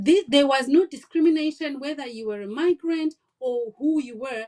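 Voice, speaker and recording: With a non-native accent, a woman speaks at a moderate pace with lively intonation and a dark, mellow tone, in a dry, close sound with no echo. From Africa. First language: not English. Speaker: nurse and health-tech founder. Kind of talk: podcast interview, personal story.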